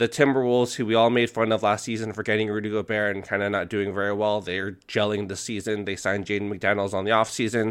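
Very fast delivery with fairly even intonation. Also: man. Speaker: basketball podcast host. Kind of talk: casual sports talk.

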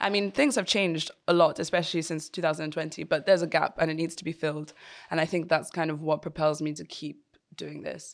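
A woman speaks at a very fast pace in a very deep, low voice, with fairly even intonation but big swings in loudness. The recording is very clean, with a silent background. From Nigeria. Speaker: art historian. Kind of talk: interview.

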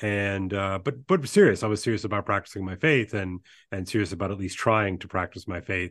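A man with an American accent speaks at a fairly quick pace and fairly low pitch with ordinary pitch variation, over a quiet background. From US South, Louisiana (Baton Rouge). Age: 50s. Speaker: English teacher. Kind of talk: casual chat. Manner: halting, many repeated fillers.

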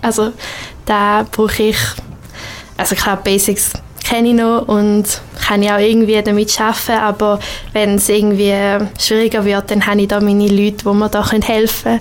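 With long, frequent pauses, a woman at medium pitch speaks in a flat monotone at very even loudness, against noticeable background noise. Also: moderate pace. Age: 20s. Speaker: multimedia producer and wedding photographer. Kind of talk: radio interview.

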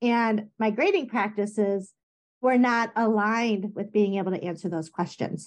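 An ordinary speaking voice moves at a moderate pace. The intonation stays fairly even. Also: woman, fairly high pitch for a woman. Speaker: science teacher. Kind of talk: casual chat.

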